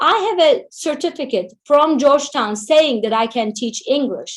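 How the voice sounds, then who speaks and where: Her intonation lively, a woman speaks in a high voice with a Turkish accent. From Turkey, Istanbul. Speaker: Turkish language teacher. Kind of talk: webinar Q&A answer.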